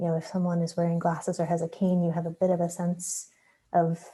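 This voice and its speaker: Soft-spoken and somewhat breathy, a woman speaks at a medium pitch with a dark, mellow tone on a very clean recording with a silent background. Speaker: workshop participant. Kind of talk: group presentation.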